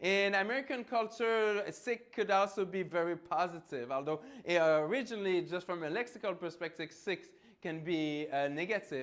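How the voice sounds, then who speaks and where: Loud and animated in tone, a man with a French Canadian accent speaks at a moderate pace with lively intonation. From Quebec, Canada. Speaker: professor. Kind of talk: lecture. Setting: lecture hall with microphone.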